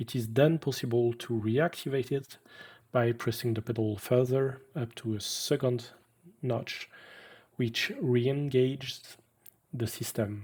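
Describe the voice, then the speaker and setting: With a French accent, a man speaks fairly slowly at a medium pitch, somewhat breathy, with fairly even intonation and long, frequent pauses. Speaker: piano designer and technician. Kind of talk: webinar lecture.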